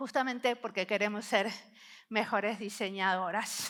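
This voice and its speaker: The tone is bright and sharp, delivered at a fairly slow pace. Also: woman. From Argentina, Buenos Aires. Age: 50s. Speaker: service designer and researcher, conference speaker. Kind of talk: conference talk. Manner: intense.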